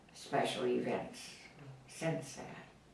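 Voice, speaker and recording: A woman's very slow speech over noticeable background noise. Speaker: grandmother. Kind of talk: interview answer.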